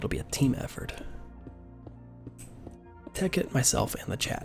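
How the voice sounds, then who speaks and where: Music plays behind a man talking at a moderate pace. He leaves long, frequent pauses. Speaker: ASMR streamer. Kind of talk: casual gaming stream commentary.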